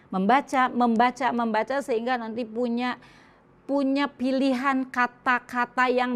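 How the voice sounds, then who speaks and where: The pace is fairly slow. The intonation is monotone and flat. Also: woman. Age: 60s. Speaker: Islamic women's speaker. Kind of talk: religious lecture.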